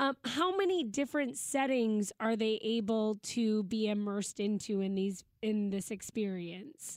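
With an unremarkable speaking voice, a woman talks at a fairly slow pace and a fairly high pitch, showing ordinary pitch variation, very even loudness and hardly any pauses. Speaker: radio co-host. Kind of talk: casual radio interview.

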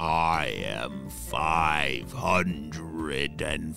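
A man performs a put-on character voice with a growl. Clear music plays in the background. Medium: read story. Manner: gentle, friendly.

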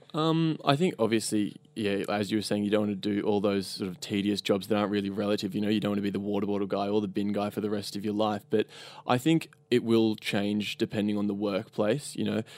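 In an Australian accent, a man rattles along at a very fast pace with hardly any pauses, his fairly low voice fairly even in intonation on a very clean recording with a silent background. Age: 20s. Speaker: e-commerce customer service worker. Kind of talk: casual chat. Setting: studio.

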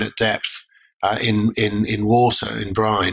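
With an English accent, a man speaks in a fairly low pitch and a monotone, flat intonation. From Lake District, England. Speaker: mining company director. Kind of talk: interview.

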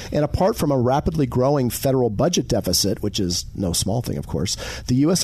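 Noticeable background noise sits behind a man speaking at a fairly quick pace. His pitch is medium, and his intonation is lively. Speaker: co-host. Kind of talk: radio host patter. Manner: conversational, easygoing.

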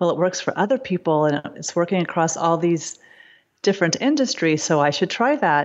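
Here is a woman with an unremarkable speaking voice at a fairly low pitch. She talks at a fairly quick pace with lively intonation. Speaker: psychotherapist. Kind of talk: casual interview chat.

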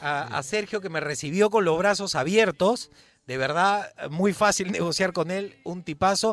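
This man has a high pitch with ordinary pitch variation. He talks at a fairly slow pace. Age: 40s. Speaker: radio host. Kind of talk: casual chat.

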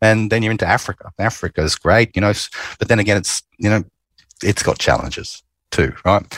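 A man with an Australian accent speaks at a fairly quick pace in a fairly low voice. The sound is dry and close with no echo, and the recording is very clean over a silent background. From Queensland, Australia. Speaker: oil company executive. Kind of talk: interview.

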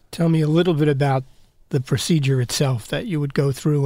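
This man speaks with a fairly high pitch, ordinary pitch variation and a somewhat breathy sound. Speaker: news director. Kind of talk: interview.

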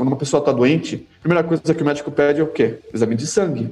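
With noticeable background noise behind him, a man talks at a fairly high pitch, varying it in an ordinary way. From Brazil, São Paulo city. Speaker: halal certification manager. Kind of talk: casual interview.

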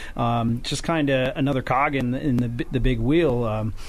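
A man talks with an American accent at a medium pitch. There is noticeable background noise. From northern New York. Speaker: lumberjack competitor and forester. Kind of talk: radio interview. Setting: radio studio.

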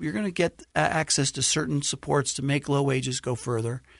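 An unremarkable speaking voice with an American accent and ordinary pitch variation comes through dry and close with no echo over a quiet background. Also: man. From New York City (Brooklyn). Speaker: think tank president. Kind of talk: interview. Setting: studio.

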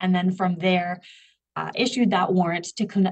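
A woman speaks at a moderate pace. Her voice is somewhat breathy and fairly low in pitch. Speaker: professor and forensic geneticist. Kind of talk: interview.

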